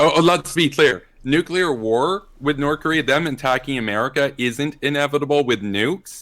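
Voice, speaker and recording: With an unremarkable speaking voice, a man talks at a moderate pace and a fairly high pitch, using ordinary pitch variation and hardly any pauses, on a very clean recording with a silent background. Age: 20s. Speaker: debater and streamer. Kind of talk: debate.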